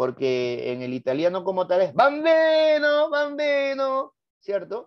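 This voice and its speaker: The voice has an animated tone. It carries a Lima accent. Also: man. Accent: Lima Peruvian Spanish. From Peru, Lima. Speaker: teacher. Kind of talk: lecture.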